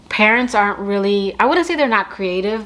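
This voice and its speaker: A woman with an American accent, medium pitch and ordinary pitch variation, over noticeable background noise. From US Northeast, Connecticut. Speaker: beauty and perfume YouTuber. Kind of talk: casual Q&A chat to camera. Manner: chatty, lots of fillers.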